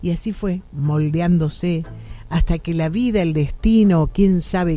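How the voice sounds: At a fairly slow pace, a woman speaks with low pitch and a dark, mellow tone.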